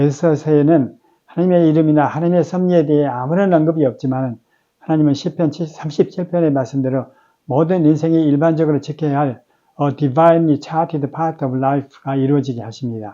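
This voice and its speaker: Speaking at a fairly quick pace, a man has a dark, mellow tone and fairly even intonation. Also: fairly high pitch for a man. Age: 70s. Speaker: ministry staff worker giving daily devotional. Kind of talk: devotional Bible meditation. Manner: formal.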